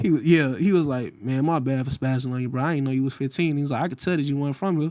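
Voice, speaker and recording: A man with an American accent speaks very fast in a fairly high pitch, his tone dark and mellow. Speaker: rapper. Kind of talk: casual chat. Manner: animated.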